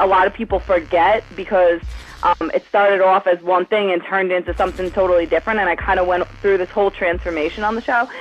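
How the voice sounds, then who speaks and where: A woman with a New York accent talks very fast, hardly pausing, at a medium pitch with ordinary pitch variation. Her loudness stays very even while music plays in the background. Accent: noticeable New York. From New York City, Staten Island. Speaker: reality TV contestant. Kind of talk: casual interview. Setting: phone call.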